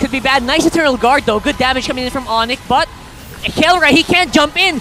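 The delivery is animated and very fast. Noticeable background noise runs underneath. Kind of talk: esports commentary. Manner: animated, rapid-fire play-by-play; excitable, exclamatory.

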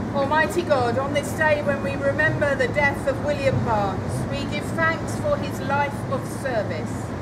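Against loud background noise, a woman speaks at a moderate pace with hardly any pauses. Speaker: clergy leading prayer. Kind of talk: church prayer. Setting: church. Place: street. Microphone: camera far.

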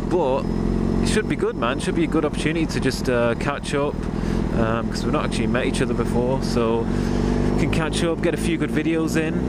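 A fairly quick pace, a dry sound with no echo, and loud background noise. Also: man. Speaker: motovlogger. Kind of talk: casual vlog chat. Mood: excited, upbeat. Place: motorbike. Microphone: helmet.

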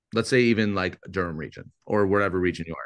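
Against a quiet background, a man with a Canadian accent speaks at a fairly quick pace with ordinary pitch variation. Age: 30s. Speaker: real estate agent and lead-generation coach; lead-generation coach. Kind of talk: webinar coaching session. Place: home room. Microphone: video call.

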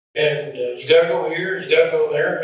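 A man at a moderate pace, with audible room echo. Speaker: preacher. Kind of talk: sermon. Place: church.

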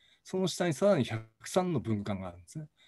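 A man's dark, mellow, somewhat breathy voice at a fairly quick pace, with very wide pitch swings in a dry, close sound with no echo. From Hokkaido. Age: 60s. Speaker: professor. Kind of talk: lecture. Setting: recorded video, no live audience.

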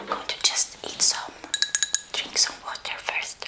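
A soft-spoken woman is whispering. She goes at a fairly slow pace. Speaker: ASMR eating creator. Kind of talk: casual vlog chat. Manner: soft ASMR whisper. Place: home room.

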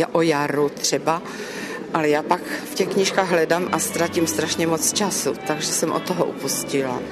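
A woman speaks at a moderate pace while noticeable background noise plays behind her. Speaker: regional folk poet and writer. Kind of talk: interview answer. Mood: warm, pleased. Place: church. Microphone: handheld.

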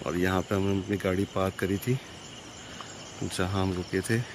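The voice moves little in pitch and keeps a moderate pace. Background noise is clearly audible. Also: man, low pitch for a man.

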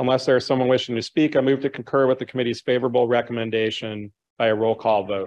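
Very fast speech from a man at medium pitch with an American accent. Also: fairly even intonation, quiet background. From Chicago. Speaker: city council member. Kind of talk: formal council proceedings. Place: hall. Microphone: podium.

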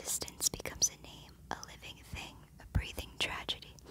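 A woman whispers. Her pace is moderate. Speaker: ASMR creator. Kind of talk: ASMR poetry reading. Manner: whispered, soft-spoken. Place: home room. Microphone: phone near.

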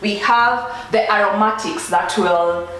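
Audible room echo surrounds a woman as she speaks. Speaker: food blogger. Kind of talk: cooking tutorial. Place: kitchen.

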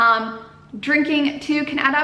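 A woman's raised, projected voice carries ordinary pitch variation amid audible room echo. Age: 20s. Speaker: YouTuber, travel vlogger. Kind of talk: casual vlog advice talk. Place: home room.

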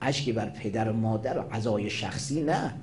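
Speaking at a fairly quick pace, a man is heard over light background noise. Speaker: Shia cleric; cleric preacher. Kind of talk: religious sermon. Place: hall. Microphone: podium.

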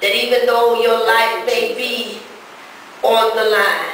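A woman's voice carries strong room echo, with light background noise underneath. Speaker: preacher. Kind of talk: sermon. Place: garage. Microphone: pa.

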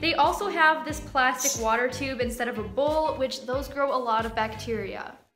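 Over clear music in the background, a woman uses a raised, projected voice at a moderate pace. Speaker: pet bird vlogger. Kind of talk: reaction commentary. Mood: concerned, earnest. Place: home room.

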